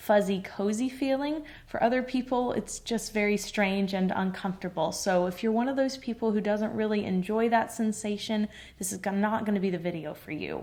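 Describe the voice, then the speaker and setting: A woman talks at a moderate pace in an ordinary speaking voice. Her pitch sits fairly high and varies in an ordinary way. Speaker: soap maker. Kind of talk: ASMR soap-making talk to camera. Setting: two-mic stereo setup. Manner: quiet, gentle, explanatory.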